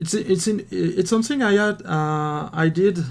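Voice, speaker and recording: Fairly slow speech in a French accent with ordinary pitch variation, on a very clean recording with a silent background. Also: man. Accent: French accent, speaking English. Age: 30s. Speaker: miniature painting hobbyist and game master. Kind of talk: casual chat. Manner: halting, many repetitions and fillers.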